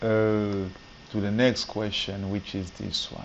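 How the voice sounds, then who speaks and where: A man talks at a fairly low pitch. The room echo is audible. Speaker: maths teacher. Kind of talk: tutorial. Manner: soft-spoken; halting.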